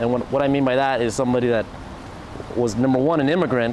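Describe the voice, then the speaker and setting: A man speaks quietly at a medium pitch with an American accent. Noticeable background noise sits behind him. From US West Coast, Orange County, California. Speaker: DJ. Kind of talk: interview. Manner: quiet by nature; halting, many restarts.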